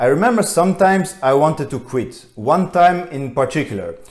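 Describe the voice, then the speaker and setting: Over a quiet background, a man's voice is heard. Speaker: fitness vlogger. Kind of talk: personal story vlog. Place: home room.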